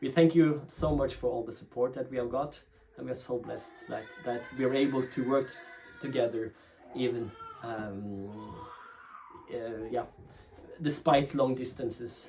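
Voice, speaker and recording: Over noticeable background noise, a man with a Norwegian accent speaks at a fairly slow pace and medium pitch, his fairly even intonation marked by long, frequent pauses. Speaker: pastor. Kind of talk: interview talk about ministry. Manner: halting, many fillers and restarts.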